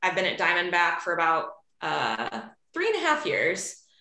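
A woman's bright, sharp voice in a slight Chicago accent, at a moderate pace, with audible room echo. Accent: slight Chicago flat A. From Chicago, US Midwest. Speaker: outdoor industry professional at a bike company. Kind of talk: casual interview.

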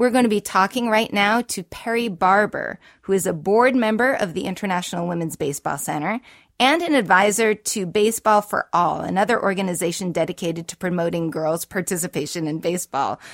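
A woman with an American accent speaks at a fairly quick pace in a plain, everyday voice, her medium pitch showing ordinary variation, the sound dry and close with no echo on a very clean recording with a silent background. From Boston. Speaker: podcast host. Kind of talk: casual interview chat.

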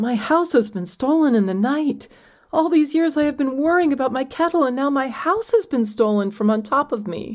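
A female-sounding voice performs a put-on character voice at a high pitch. The pace is moderate. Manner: anguished, exaggerated.

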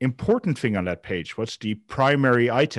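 With a Dutch accent, the speaker talks at a moderate pace and with ordinary pitch variation. The sound is dry and close with no echo, over a quiet background. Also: man. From Netherlands. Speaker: software founder. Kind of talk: interview. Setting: remote call. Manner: halting, frequent repetitions.

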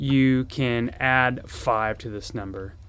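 Here a man with a medium pitch and ordinary pitch variation speaks in a plain, everyday voice. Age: 40s. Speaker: surgeon and fitness podcast host. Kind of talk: solo educational podcast. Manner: casual with many filler words.

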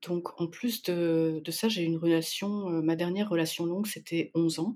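Using an unremarkable speaking voice, a woman talks at a moderate pace, fairly low in pitch with fairly even intonation. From France, Spanish parents. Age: 40s. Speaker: listener guest, paramedical worker. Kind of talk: casual interview chat.

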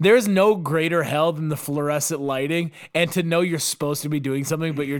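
At a very fast pace, a man speaks in an animated tone, fairly high-pitched with ordinary pitch variation. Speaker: podcast host. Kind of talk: casual comedic banter podcast. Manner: animated, joking, profane.

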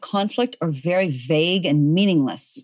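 A woman with an unremarkable speaking voice talks at a moderate pace, her pitch fairly low and her intonation lively. The background is quiet, and the sound is dry and close with no echo. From Virginia, US (moved around as a child). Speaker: author and conflict resolution facilitator. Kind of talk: interview conversation.

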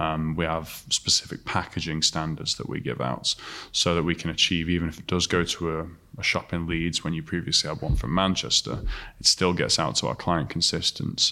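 A man with a very deep, low voice, a bright, sharp tone and vocal fry speaks at a fairly quick pace with fairly even intonation on a very clean recording with a silent background. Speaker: CNC engineer. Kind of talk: interview answers.

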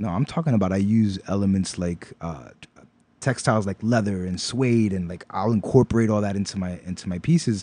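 Speaking with a New York accent, a man talks at a fairly quick pace in a dark, mellow tone with ordinary pitch variation. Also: fairly low pitch for a man. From New York, Brooklyn (East New York). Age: 40s. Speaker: knitter and designer. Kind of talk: casual interview.

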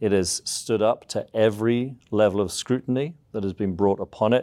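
The voice has a dark, mellow tone and ordinary pitch variation, delivered at a fairly slow pace in an English accent. The recording is very clean, with a silent background. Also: man. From southeast England. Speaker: seminary professor. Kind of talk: interview.

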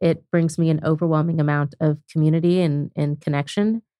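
A woman with an American accent speaks in a normal speaking voice, fairly low in pitch and with fairly even intonation, in a very clean recording with a silent background. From Oklahoma (Lawton). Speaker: startup founder. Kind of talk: interview. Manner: casual.

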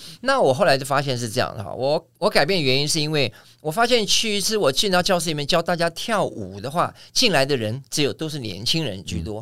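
A man speaks fairly quickly at a fairly high pitch, with a bright, sharp tone and vocal fry. His pitch swings very widely on a very clean recording with a silent background. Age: 60s. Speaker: aerobics instructor. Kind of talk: casual interview chat. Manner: animated.

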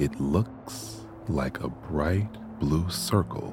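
Over noticeable background noise, a man speaks at a very slow pace with very wide pitch swings. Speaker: guided meditation narrator. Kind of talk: guided meditation. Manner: calm, slow, soothing, even.

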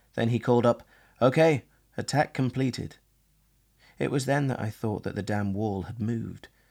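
A man with medium pitch and an unremarkable speaking voice talks at a moderate pace with ordinary pitch variation on a very clean recording with a silent background. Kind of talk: archive narration read aloud, 1940s wartime broadcast.

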